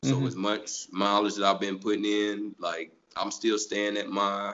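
This man has an unremarkable speaking voice with a fairly low pitch. He keeps a moderate pace. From US South. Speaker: amateur marathon runner. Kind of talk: casual chat.

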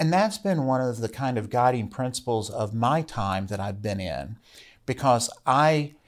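A man with an American accent talks at a moderate pace in an ordinary speaking voice. The recording is very clean, with a silent background. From Virginia mountains, Rockbridge County. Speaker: state legislator. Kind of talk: interview conversation. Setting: studio.

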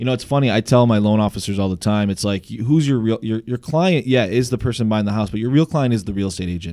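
The tone is animated, with ordinary pitch variation. The pace is very fast. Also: man. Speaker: radio host. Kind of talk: casual radio show chat. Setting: studio. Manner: animated, jokey.

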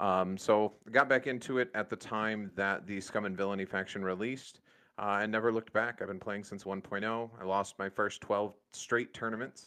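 Against a quiet background, a man with an American accent speaks at a fairly low pitch in a bright, sharp tone, with fairly even intonation, a moderate pace, and hardly any pauses. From Michigan. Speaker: gaming podcast co-host. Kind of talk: casual chat.

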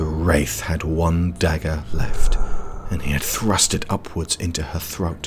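Over noticeable background noise, a man with a very deep, low voice speaks at a fairly slow pace in an animated, dramatic tone. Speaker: audio drama narrator. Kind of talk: dramatic fiction narration with character voices. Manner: animated, dramatic, vivid storytelling.

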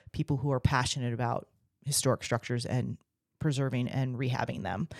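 A woman with an American accent and a very deep, low pitch, fairly even intonation, a dry, close sound with no echo, and a very clean recording over a silent background. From Virginia Beach, Virginia. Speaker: nonprofit director, historic preservationist. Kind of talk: casual interview.

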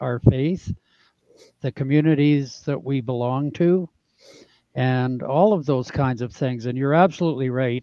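In a normal speaking voice, a man talks at a fairly high pitch with fairly even intonation. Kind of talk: casual interview chat.

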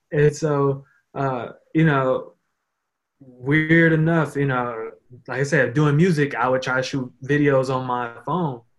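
Fairly high-pitched for a man, this voice belongs to a man speaking at a fairly slow pace in an unremarkable speaking voice. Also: fairly even intonation. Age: 20s. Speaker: social media marketer and photographer. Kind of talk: casual interview chat.

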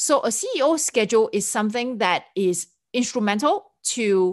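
In a Singaporean accent, a woman speaks in an animated tone over a quiet background. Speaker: podcast host, event planning business owner. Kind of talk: solo podcast monologue.

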